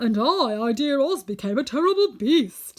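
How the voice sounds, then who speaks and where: A woman adopts a put-on character voice, talking at a moderate pace in a high register whose pitch swings very widely. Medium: read story.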